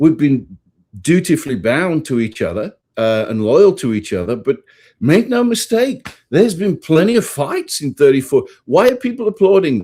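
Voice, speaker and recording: A man with an English accent speaks at a fairly high pitch in a dark, mellow tone, his pitch swinging very widely. The pace is moderate, and the recording is very clean with a silent background. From England. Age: 50s. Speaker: priest and author. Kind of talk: interview.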